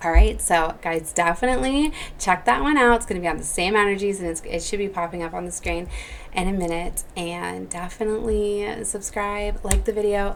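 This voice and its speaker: Noticeable background noise sits behind a woman speaking at a medium pitch with ordinary pitch variation. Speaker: psychic tarot reader. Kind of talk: channeled spiritual message video. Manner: fast; casual with many fillers.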